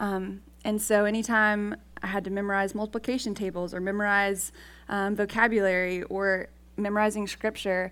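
In a very clean recording with a silent background, a woman talks at a fairly quick pace, her medium-pitched voice monotone and flat. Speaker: campus ministry worker. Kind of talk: devotional talk. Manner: halting, many fillers.

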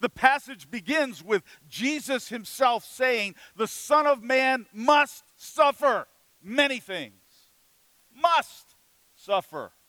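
A man's raised, projected voice, extremely high in pitch and bright, sharp in tone, with ordinary pitch variation, a very slow pace, long, frequent pauses, and a dry, close sound with no echo. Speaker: pastor. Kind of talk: sermon.

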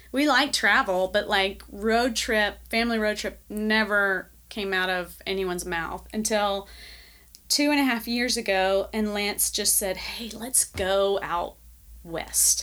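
In a Southern US accent, a woman speaks at a fairly slow pace with a medium pitch and ordinary pitch variation. The recording is very clean, with a silent background. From US South, Nashville, Tennessee. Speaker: church member and artist. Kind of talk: interview.

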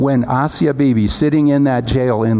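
There is audible room echo and noticeable background noise. A man speaks at a medium pitch with ordinary pitch variation. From Pakistan. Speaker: missionary. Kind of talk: sermon. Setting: church.

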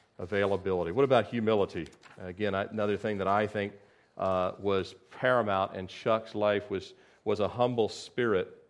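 This man speaks at a moderate pace with a fairly low pitch. His intonation stays fairly even. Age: 40s. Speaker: pastor. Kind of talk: sermon. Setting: church. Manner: halting.

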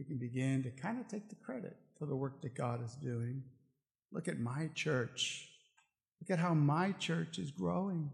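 The voice is somewhat breathy and moves at a moderate pace. Its pitch swings very widely. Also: man, fairly high pitch for a man. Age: 50s. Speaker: pastor. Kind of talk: sermon. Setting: church.

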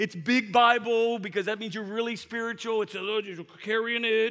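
A man uses an extremely high pitch with a bright, sharp tone. His voice is raised and projected, and his tone is animated. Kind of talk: sermon. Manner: animated, conversational preacher who stops to ask for audience response; casual, repeats words and stumbles into phrases, heartfelt and exhorting.

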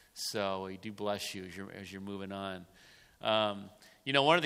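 The man's fairly low voice has a bright, sharp tone, with room echo audible throughout. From Lancaster. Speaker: pastor. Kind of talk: sermon.

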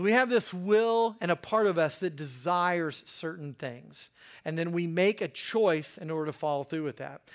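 A man speaks with an American accent at a high pitch. His delivery is fairly slow. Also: very clean recording, silent background. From US Mid-Atlantic (Hagerstown, Maryland). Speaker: pastor and counselor. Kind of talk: sermon. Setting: church with congregation. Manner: casual, conversational with fillers.

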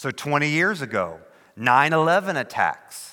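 A bright, sharp tone with ordinary pitch variation. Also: man. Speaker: pastor. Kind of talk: sermon. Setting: church.

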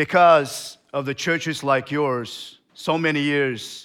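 A man with a Turkmen accent speaks at a very slow pace in a medium pitch and bright, sharp tone. His intonation is fairly even on a very clean recording with a silent background. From Turkmenistan. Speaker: missionary. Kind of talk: sermon. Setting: church. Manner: halting.

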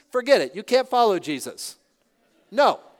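In a very clean recording with a silent background, a man with an American accent speaks at a high pitch with lively intonation. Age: 60s. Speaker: pastor. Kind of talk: sermon. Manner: halting.

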